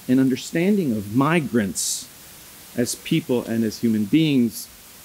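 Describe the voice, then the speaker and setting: A man at a fairly slow pace with lively intonation, over noticeable background noise. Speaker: immigration lawyer and organization director. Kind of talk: conference opening remarks. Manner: loud.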